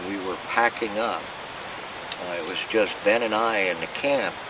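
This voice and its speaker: Heard with audible room echo and noticeable background noise, the speaker has an American accent. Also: man. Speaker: camping vlogger. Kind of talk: casual vlog narration. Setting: outdoors at campsite.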